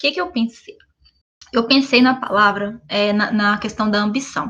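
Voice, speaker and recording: A plain, everyday voice from a woman, fairly high-pitched, with fairly even intonation. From Brazil, Minas Gerais. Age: 20s. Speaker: podcast co-host. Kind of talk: casual chat. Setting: video call from home.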